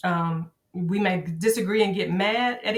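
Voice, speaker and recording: In a Southern US accent, a woman speaks at a medium pitch with fairly even intonation. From Arkansas, USA. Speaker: high school social studies teacher, army veteran. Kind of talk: podcast interview answer.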